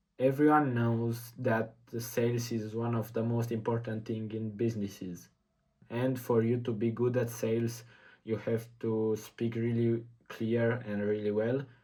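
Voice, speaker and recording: Someone with a non-native accent speaks at a fairly slow pace in a dark, mellow tone with monotone, flat intonation. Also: man, medium pitch for a man. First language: not English. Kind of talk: casual talk to camera.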